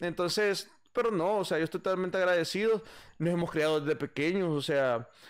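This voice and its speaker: With a high pitch and ordinary pitch variation, a man speaks at a fairly quick pace and very even loudness against a quiet background. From El Salvador, San Salvador. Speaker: musician and bandleader; podcast guest. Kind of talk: casual interview chat. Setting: live stream. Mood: relaxed, animated storytelling. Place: home room. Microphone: studio mic.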